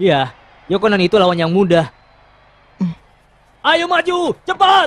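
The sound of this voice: A man does a cartoonish character voice, high-pitched with a fairly bright tone. He speaks at a fairly slow pace with big pitch swings.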